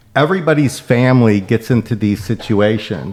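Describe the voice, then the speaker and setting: In a plain, everyday voice, a man talks at medium pitch and a moderate pace with ordinary pitch variation. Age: 50s. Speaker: podcast host. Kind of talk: podcast interview.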